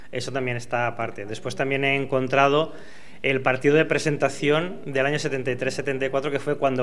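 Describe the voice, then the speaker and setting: A man at a fairly quick pace, fairly even in intonation, over light background noise. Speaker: son of elderly club fan. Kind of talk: interview answer. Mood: calm, proud. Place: office. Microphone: handheld.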